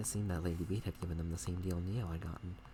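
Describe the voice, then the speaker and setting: A soft-spoken man with a very deep, low voice talks at a very fast pace with ordinary pitch variation. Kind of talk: bedtime story reading. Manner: soft, relaxing ASMR voice.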